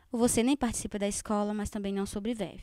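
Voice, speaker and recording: A woman speaks in a fairly high voice with a dark, mellow tone. The sound is dry and close, with no echo. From Northeast Brazil (Paraíba). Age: 20s. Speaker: student, panel participant. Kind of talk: panel discussion statement. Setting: live-streamed panel in cultural space.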